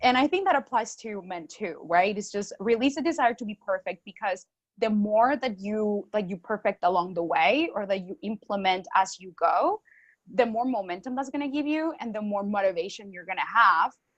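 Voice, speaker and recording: Speaking with a Spanish accent, a woman at fairly high pitch uses lively intonation and big swings in loudness, with a dry, close sound and no echo. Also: moderate pace. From Colombia. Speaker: marketing consultant. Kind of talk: podcast interview.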